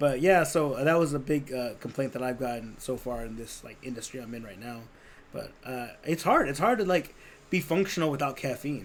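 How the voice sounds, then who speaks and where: Noticeable background noise sits under a man's fairly high voice, which has ordinary pitch variation and big swings in loudness. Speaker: podcast co-host and class instructor. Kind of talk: casual chat. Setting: live podcast recording. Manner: fast.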